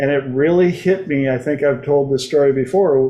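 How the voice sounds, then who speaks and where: A man with an American accent has a plain, everyday voice, pitched fairly high. He speaks at a fairly slow pace with fairly even intonation. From United States. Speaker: talk show host. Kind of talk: casual chat. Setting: livestream.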